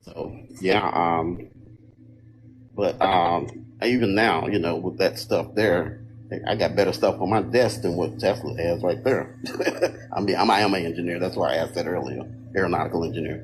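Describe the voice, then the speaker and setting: Over noticeable background noise, a man with a fairly low pitch and ordinary pitch variation speaks at a moderate pace, with long, frequent pauses. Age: 60s. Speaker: guest on a livestream panel, engineer and Marine veteran. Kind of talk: casual panel chat.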